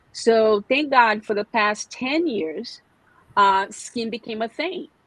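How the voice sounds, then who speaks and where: Her voice is fairly high, with lively intonation and a Brazilian Portuguese accent. The woman speaks very slowly, the sound dry and close with no echo. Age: 40s. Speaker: skincare specialist. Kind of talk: podcast interview. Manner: halting.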